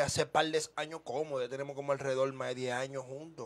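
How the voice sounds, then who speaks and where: A man rattles along at a very fast pace with a fairly high pitch and monotone, flat intonation. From Dominican Republic, Villa Duarte (Santo Domingo Este). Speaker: urban music artist. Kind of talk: casual interview. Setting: studio. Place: studio. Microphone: studio mic.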